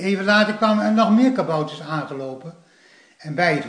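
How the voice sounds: Natural-sounding reading aloud.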